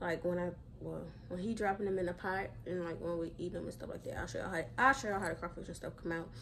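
Speaking at a very fast pace with vocal fry, a woman is heard over light background noise. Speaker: vlogger. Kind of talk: casual vlog chat. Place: home room. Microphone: phone near.

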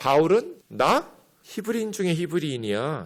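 Vocal fry runs through this man's voice. He moves at a moderate pace with very wide pitch swings. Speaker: pastor. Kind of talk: sermon.

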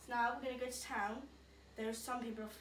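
Audible room echo along with light background noise. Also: woman. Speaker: vlogger. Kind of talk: casual vlog chat. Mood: embarrassed, giggly.

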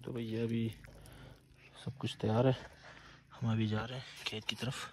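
A man's medium-pitched voice, fairly slow pace and little pitch movement.

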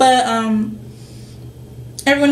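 Fairly high-pitched woman with ordinary pitch variation, audible room echo and light background noise. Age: 20s. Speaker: lifestyle vlogger. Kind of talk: casual vlog monologue. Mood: relaxed, slightly nauseous. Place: home room. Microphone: webcam.

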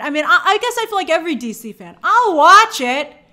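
Over a quiet background, a woman uses a raised, projected voice with a bright, sharp tone, very wide pitch swings and a moderate pace. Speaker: entertainment news host. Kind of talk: commentary.

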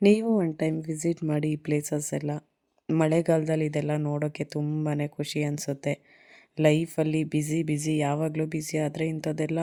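On a very clean recording with a silent background, a woman speaks in a very deep, low pitch with a dark, mellow tone and monotone, flat intonation. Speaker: travel vlogger. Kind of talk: vlog narration. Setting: outdoors.

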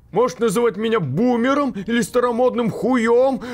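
Shouting in a put-on character voice, a man speaks at a moderate pace and high pitch. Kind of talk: comic overacting. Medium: fan dub. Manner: indignant, shouting.

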